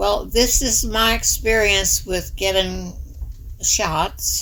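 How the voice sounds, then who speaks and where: At a very slow pace, a woman with an American accent talks amid audible room echo. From rural southern Illinois, Pulaski County. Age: 80s+. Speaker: retired school teacher. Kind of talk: personal testimony.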